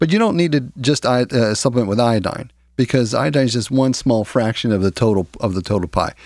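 A man with an unremarkable speaking voice talks fairly quickly with hardly any pauses, very even loudness and ordinary pitch variation, on a very clean recording with a silent background. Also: medium pitch for a man. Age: 50s. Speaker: natural health practitioner. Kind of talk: radio health talk.

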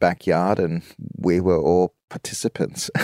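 A man with a very deep, low pitch and a dark, mellow tone speaks with an Australian accent, recorded dry and close with no echo in a very clean recording with a silent background. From Southeast Queensland, Australia. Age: 50s. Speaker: choreographer. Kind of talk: casual chat.

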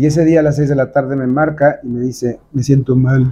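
A man with a dark, mellow tone and medium pitch speaks at a fairly quick pace. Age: 50s. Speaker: entertainment journalist and publicist. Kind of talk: interview.

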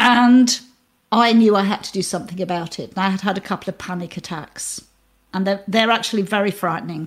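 In a British accent, a woman speaks at a fairly quick pace and medium pitch with fairly even intonation, on a very clean recording with a silent background. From UK. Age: 60s. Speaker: mindfulness teacher, former neuroscientist. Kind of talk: interview.

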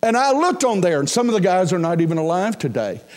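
Speaking with an American accent, a man uses lively intonation. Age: 60s. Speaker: pastor. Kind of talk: sermon.

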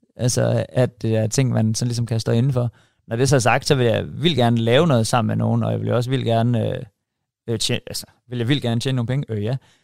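A man speaks in a normal speaking voice at a medium pitch. His pace is fairly quick and his intonation fairly even. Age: 40s. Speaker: chef and YouTuber. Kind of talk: casual interview.

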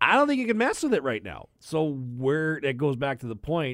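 A man with a Western Canadian accent talks at a fairly quick pace in a very clean recording with a silent background. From Southern Alberta, Canada. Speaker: hockey broadcaster. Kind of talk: casual chat.

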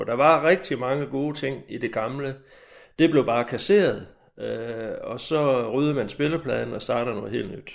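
A man's plain, everyday voice at medium pitch, a fairly slow pace, ordinary pitch variation and big swings in loudness. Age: 60s. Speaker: retired army major, former lecturer. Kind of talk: recorded interview.

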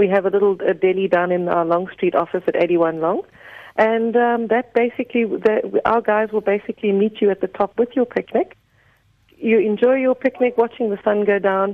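A woman's normal speaking voice, fairly high in pitch, with ordinary pitch variation and a moderate pace. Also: very even loudness. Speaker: tourism marketing manager. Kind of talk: radio interview.

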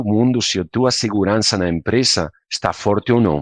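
Captured with a dry, close sound with no echo over a quiet background, a man in a Spanish accent speaks at a moderate pace with ordinary pitch variation. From Spain. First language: Spanish (speaking Portuguese). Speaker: software company country manager. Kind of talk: casual interview.

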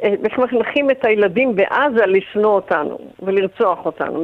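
A woman's fairly high voice, with ordinary pitch variation, unfolds at a very slow pace. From Israel. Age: 80s+. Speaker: retired tour guide, residents' association chair. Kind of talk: radio interview.

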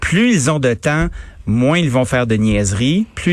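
The voice has lively intonation. Music plays in the background. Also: man. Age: middle-aged. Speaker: radio host. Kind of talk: radio commentary.

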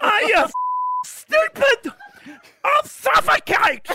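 In a put-on character voice at an extremely high pitch, someone shouts at a very slow pace with very wide pitch swings, while sound effects play in the background. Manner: shocked, yelling.

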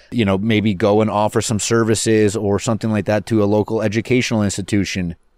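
In a very clean recording with a silent background, a man with an unremarkable speaking voice talks fairly quickly at a fairly low pitch, keeping his intonation fairly even. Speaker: podcast host, mortgage agent. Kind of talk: casual banter podcast. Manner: joking, playful.

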